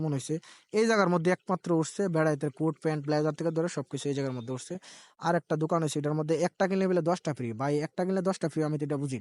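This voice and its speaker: On a dry, close recording with no echo and a quiet background, a man speaks at a fairly high pitch with ordinary pitch variation. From Brahmanbaria, Bangladesh. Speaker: vlogger. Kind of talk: walking vlog narration. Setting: outdoors at a fair. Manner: casual, rambling.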